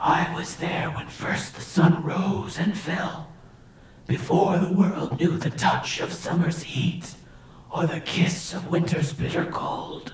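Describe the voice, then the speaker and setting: A put-on character voice at middle pitch moves at a fairly slow pace. Clear background noise, hissing and slight echo run through the recording. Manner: hissing, sibilant, ancient and boastful.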